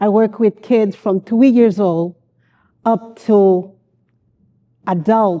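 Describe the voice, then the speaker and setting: A woman talks at a very slow pace in a dark, mellow tone. The sound is dry and close with no echo. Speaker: mental health counselor. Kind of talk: conference talk. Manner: loud.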